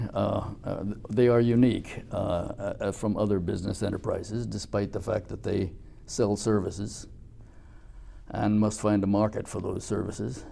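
Man with a fairly low pitch, dark, mellow tone, vocal fry and fairly even intonation. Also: moderate pace. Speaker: interviewer. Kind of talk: formal interview. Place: studio.

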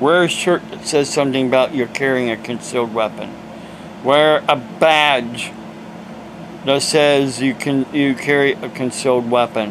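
A man with an American accent talks at a fairly slow pace in a medium pitch, with fairly even intonation. Noticeable background noise is present. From Ohio, US. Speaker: evangelist preacher. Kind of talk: preaching rant, angry and indignant, scolding critics. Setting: home video monologue to camera. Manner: agitated, emphatic, ranting, scolding; rambling, hesitant with fillers. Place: home room. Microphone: phone near.

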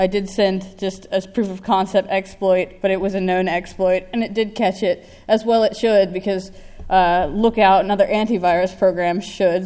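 Against a quiet background, a woman with an American accent speaks in a dark, mellow tone. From United States. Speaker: security researcher. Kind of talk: conference talk. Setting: stage with audience. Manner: animated. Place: hall. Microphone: podium.

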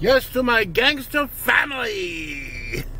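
A man's raised, projected voice rings at an extremely high pitch with ordinary pitch variation, in a dry sound with no echo. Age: old. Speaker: vlogger. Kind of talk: casual vlog monologue. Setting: in a car. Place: car. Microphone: phone near.

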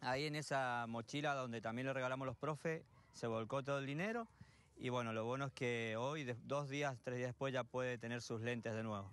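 A man speaks at a fairly quick pace with fairly even intonation and very even loudness. The sound is dry with no echo. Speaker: youth football coach. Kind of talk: interview answer. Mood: warm, pleased. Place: open country. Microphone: handheld.

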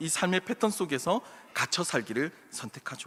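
A man's high-pitched voice has a bright, sharp tone. His intonation is lively. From South Korea, Gyeongsang region. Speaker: pastor. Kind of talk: sermon.

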